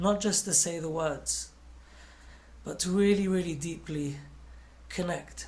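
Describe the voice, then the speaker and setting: The speaker is a man with an English accent, talking at a moderate pace. Room echo can be heard. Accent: English, noticeable to listeners. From London, England. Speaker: singer. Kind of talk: inspirational talk to children. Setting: video call, not in a studio.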